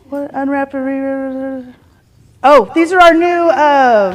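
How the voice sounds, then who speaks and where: With long, frequent pauses and big swings in loudness, a woman speaks in a high pitch at a very slow pace with lively intonation. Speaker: real estate team leader. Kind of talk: team meeting announcements.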